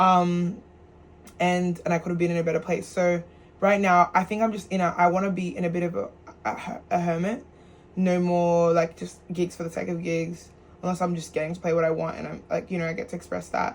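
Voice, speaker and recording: A woman speaks fairly quickly in a fairly low pitch, her intonation monotone and flat. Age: 20s. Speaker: musician and DJ vlogger. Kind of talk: casual vlog monologue. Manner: fast; halting, many restarts.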